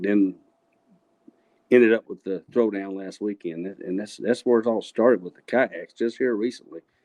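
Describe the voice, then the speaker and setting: A man's fairly low voice in a Texan accent, dark and mellow in tone, with fairly even intonation at a moderate pace and a dry, close sound with no echo. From West Texas, Abilene area. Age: 60s. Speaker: kayak fishing tournament winner, machinist. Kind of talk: casual interview chat. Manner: halting, repeats words.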